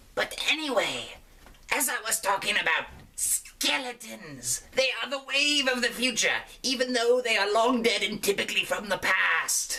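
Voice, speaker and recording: Someone uses a put-on character voice with a fairly high pitch. Light background noise runs underneath. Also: moderate pace. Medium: solo performance. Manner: rambling, enthusiastic.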